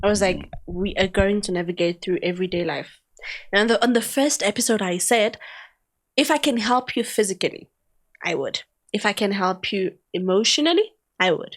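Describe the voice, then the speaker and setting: A woman talks at a fairly quick pace. She leaves long, frequent pauses. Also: medium pitch for a woman, ordinary pitch variation. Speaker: podcast host. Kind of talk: casual chat. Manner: animated; talkative.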